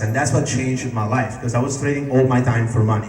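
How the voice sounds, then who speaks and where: Amid noticeable background noise and audible room echo, a man with an Italian accent speaks in a medium pitch with ordinary variation. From Italy. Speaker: network marketing distributor. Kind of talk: sales pitch. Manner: casual, animated.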